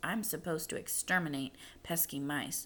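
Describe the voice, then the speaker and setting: In a put-on character voice, a female-sounding speaker uses a raspy, hissing delivery at middle pitch and moderate pace, with clear background noise. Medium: read story. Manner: disdainful.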